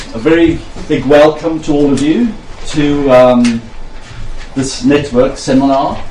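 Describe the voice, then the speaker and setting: A man speaks with lively intonation at a fairly high pitch. There is noticeable background noise. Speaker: event organiser welcoming delegates. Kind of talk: welcome speech.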